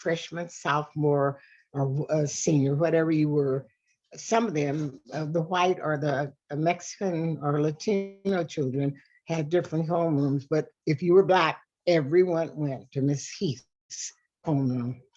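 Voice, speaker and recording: A woman's very deep, low pitch with an American accent, fairly even intonation and a fairly slow pace, with music in the background. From Tucson, Arizona. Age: 90s. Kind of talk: oral history interview.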